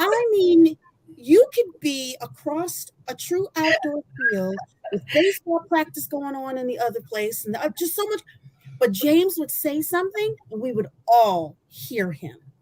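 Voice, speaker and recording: A loud, high woman's voice in an American accent, swinging very widely in pitch at a fairly slow pace. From Michigan. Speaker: former college athlete. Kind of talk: testimony.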